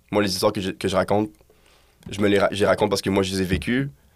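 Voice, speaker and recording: The man's fairly low voice holds a monotone, flat intonation on a very clean recording with a silent background. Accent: Quebec. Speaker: musician. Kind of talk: casual interview chat. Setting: studio.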